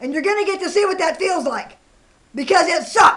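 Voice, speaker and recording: This woman has an American accent. Her intonation is lively. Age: 60s. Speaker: vlogger. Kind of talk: angry rant reading messages aloud. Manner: animated.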